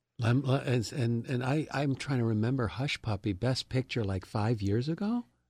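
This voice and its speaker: A man speaks at a moderate pace and medium pitch with ordinary pitch variation, a somewhat breathy voice, very even loudness and hardly any pauses, in a very clean, silent recording with a dry, close sound and no echo. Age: 50s. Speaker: radio co-host. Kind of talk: casual interview chat. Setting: studio.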